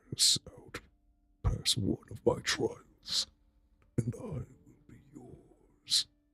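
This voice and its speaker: A raspy put-on character voice, very slow, with long, frequent pauses. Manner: menacing.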